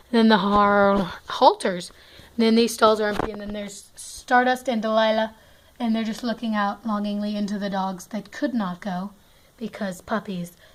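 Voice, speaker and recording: A woman speaks at a moderate pace in a fairly high pitch. Her intonation is monotone and flat, and her loudness swings widely. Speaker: toy horse hobbyist vlogger. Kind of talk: casual toy barn tour narration. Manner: halting, stuttering.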